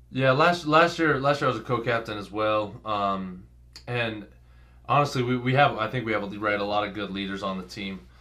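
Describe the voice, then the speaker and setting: There is audible room echo as a man speaks at a fairly quick pace. His tone is bright and sharp. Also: fairly low pitch for a man, ordinary pitch variation. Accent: American. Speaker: college football player. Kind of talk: interview.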